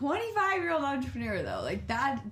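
A woman's fairly slow speech carries audible room echo over noticeable background noise. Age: 20s. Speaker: podcast host. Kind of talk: casual chat.

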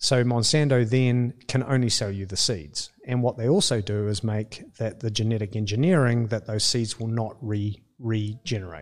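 With a New Zealand accent, a man speaks at a moderate pace with ordinary pitch variation. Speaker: coffee company co-owner. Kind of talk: casual interview.

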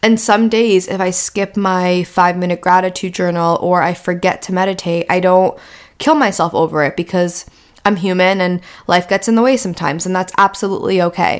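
Speaking fairly quickly with fairly even intonation, a woman uses a normal speaking voice at a medium pitch. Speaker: podcast host. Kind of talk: solo podcast monologue.

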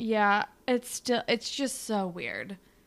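The tone is bright and sharp. The pace is very slow. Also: woman. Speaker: podcast co-host. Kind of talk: casual podcast chat.

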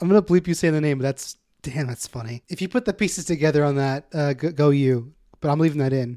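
A man's fairly high, dark and mellow voice at a very fast pace, with ordinary pitch variation, a dry, close sound with no echo, and a very clean recording over a silent background. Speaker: podcast host. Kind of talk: casual comedy podcast chat.

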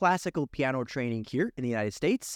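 Lively intonation in a very clean recording with a silent background and a dry, close sound with no echo. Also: man. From Ukraine, moved to US as a child. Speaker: cloud architect. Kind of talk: interview. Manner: animated.

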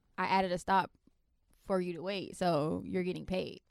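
Someone speaks with a Florida accent in a very clean recording with a silent background. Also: woman. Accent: Southern US (Florida), noticeable. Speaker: podcast host. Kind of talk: casual comedic chat.

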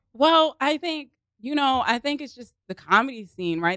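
A woman with a Baltimore accent speaks at a moderate pace, her fairly high voice making very wide pitch swings. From Baltimore, Maryland. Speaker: improv comedian and actress. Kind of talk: casual chat. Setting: studio. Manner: animated.

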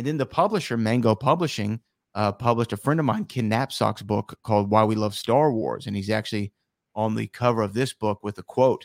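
A man with a plain, everyday voice speaks at medium pitch and a fairly quick pace, with ordinary pitch variation. The recording is very clean with a silent background and a dry, close sound with no echo. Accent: American. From Texas (Houston). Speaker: author and radio host. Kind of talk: interview.

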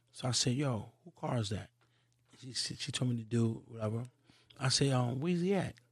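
Speaking at a fairly quick pace but with long, frequent pauses, a man uses a medium-pitched, somewhat breathy voice with ordinary pitch variation. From Queens, New York. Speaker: hip-hop podcast creator. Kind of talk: casual interview chat.

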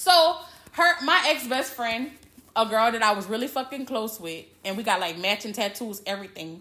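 Speaking at a moderate pace, a woman uses an animated tone and very wide pitch swings over noticeable background noise. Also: fairly high pitch for a woman. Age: 30s. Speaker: podcast host. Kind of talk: casual chat.

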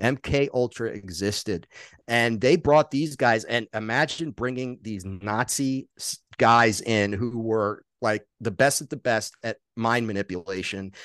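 In a normal speaking voice, a man of medium pitch talks at a fairly slow pace with ordinary pitch variation, in a dry, close sound with no echo. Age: 50s. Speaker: author and documentary filmmaker. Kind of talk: casual chat.

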